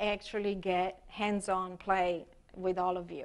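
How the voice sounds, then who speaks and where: A woman with an Italian accent, at a fairly slow pace. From Italy. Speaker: expressive arts therapist. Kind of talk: workshop presentation. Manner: halting, many fillers.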